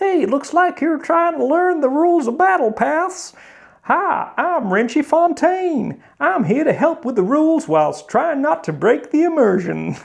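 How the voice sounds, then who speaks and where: A put-on character voice speaks at a high pitch and a moderate pace. The tone is cheerful. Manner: jokey, cheerful.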